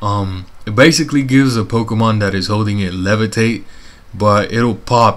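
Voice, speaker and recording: A man talks in an ordinary speaking voice at a fairly low pitch. His pace is moderate and his intonation fairly even. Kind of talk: gameplay commentary. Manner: casual, profane.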